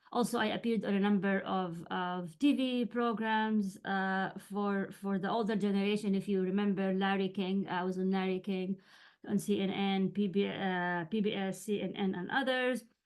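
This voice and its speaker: With a Jordanian accent, a woman speaks at a moderate pace and medium pitch with fairly even intonation over a quiet background. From Jordan (Amman). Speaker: writing coach and journalist. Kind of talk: webinar lecture. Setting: video call webinar. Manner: halting, many fillers.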